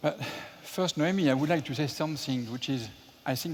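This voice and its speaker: In a French accent, a man talks with a fairly high pitch. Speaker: entrepreneur, theme park developer. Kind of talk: panel talk at public event. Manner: hesitant, with filler sounds.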